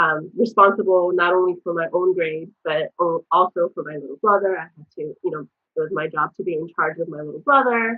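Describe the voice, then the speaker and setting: Fairly low-pitched with ordinary pitch variation, a woman talks in an ordinary speaking voice. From US Southwest, Arizona, immigrated from South Korea at nine. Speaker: mental health advocate. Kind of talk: interview, personal story. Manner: frequent fillers, um and you know.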